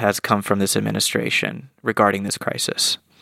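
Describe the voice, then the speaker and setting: A man speaks at a fairly low pitch with vocal fry. The recording is very clean, with a silent background and a dry, close sound with no echo. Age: 30s. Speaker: podcast host. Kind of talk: solo commentary; interview.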